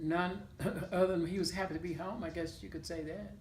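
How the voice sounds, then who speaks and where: With audible room echo, a woman speaks at a very fast pace. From US South, Claiborne County, Mississippi. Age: 70s. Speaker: oral history interviewee. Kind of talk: interview. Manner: hesitant, with fillers.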